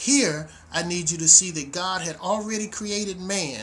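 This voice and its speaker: A high-pitched man speaks at a moderate speed with ordinary pitch variation, while noticeable background noise and audible echo from the room surround him. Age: 60s. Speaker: minister. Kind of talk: video sermon introduction. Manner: casual, animated.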